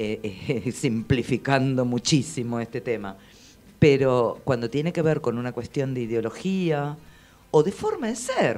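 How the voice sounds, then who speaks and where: Fairly slow speech in a Buenos Aires accent. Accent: Rioplatense Spanish (Buenos Aires). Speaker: radio host. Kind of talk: interview.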